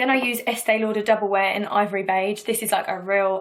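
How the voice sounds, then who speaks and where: A woman speaks with an English accent at a medium pitch. Her pace is fairly quick and her intonation is monotone and flat. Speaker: singer and beauty vlogger. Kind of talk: tutorial. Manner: chatty, fast.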